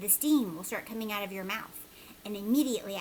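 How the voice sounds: Reading in a natural voice.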